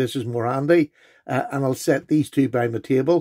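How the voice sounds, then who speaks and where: Against a quiet background, a man speaks at a fairly quick pace in a dark, mellow tone with ordinary pitch variation. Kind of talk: casual show-and-tell vlog.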